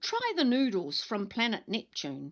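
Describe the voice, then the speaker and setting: Putting on a character voice, a woman speaks at a moderate pace with a fairly high pitch. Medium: read story.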